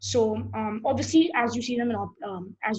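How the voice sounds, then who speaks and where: There's vocal fry in a woman's fairly high voice, and the room echo is audible. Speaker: programming teacher. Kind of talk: lecture. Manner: halting; fast.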